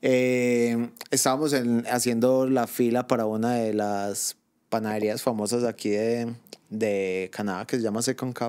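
A man speaks at a fairly slow pace in a monotone, with flat intonation. The background is quiet. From Colombia. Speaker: podcast co-host, migrant; podcast co-host. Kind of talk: casual chat. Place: home room.

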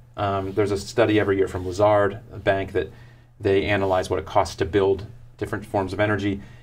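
Over faint background music, a man with an American accent talks at a very fast pace. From US South, South Florida; Florida. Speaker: author and sustainability consultant; guest. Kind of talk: interview. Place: studio.

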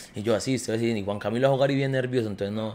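The man speaks at a very fast pace. His intonation is monotone and flat. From Colombia, Quindío (Armenia); Quindío, Colombia. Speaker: professional footballer; podcast guest. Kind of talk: casual chat. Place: home room. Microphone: studio mic.

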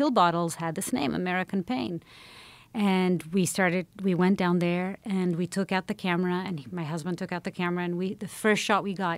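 This woman has a plain, everyday voice, fairly low in pitch. She talks at a fairly quick pace in a dry sound with no echo. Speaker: podcast guest, journalist. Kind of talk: interview answer, storytelling. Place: studio. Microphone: studio mic.

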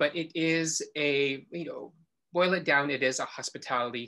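Speaking at a fairly slow pace with a bright, sharp tone and fairly even intonation, this voice has an American accent over a quiet background. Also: man. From Philippines, then US. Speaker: horticulturist. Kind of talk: interview. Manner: halting.

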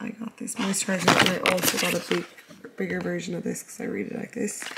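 Over noticeable background noise, a speaker with an Irish accent talks in a monotone, flat intonation. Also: woman. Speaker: vlogger and fitness coach. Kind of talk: casual vlog.

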